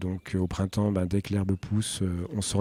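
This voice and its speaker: A man's fairly low, dark and mellow voice at a moderate pace. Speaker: heritage guide. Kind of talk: interview. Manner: hesitant.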